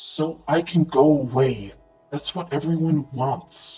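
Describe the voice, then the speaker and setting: A put-on character voice at a middle pitch goes at a fairly slow pace, with hissing and faint music in the background. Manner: hissing, frustrated.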